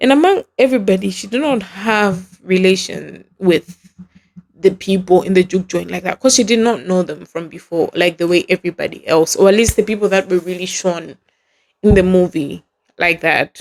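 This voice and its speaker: A woman with a non-native accent talks at a moderate pace, her pitch medium with ordinary variation. The sound is dry and close, with no echo. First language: not English. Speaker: podcast host. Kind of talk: casual solo podcast commentary. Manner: animated.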